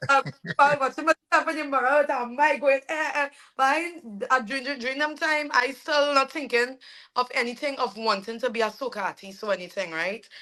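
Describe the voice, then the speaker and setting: A woman speaks at a fairly quick pace in a high, bright, sharp voice, raised and projected, with ordinary pitch variation. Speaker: soca singer. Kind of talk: interview.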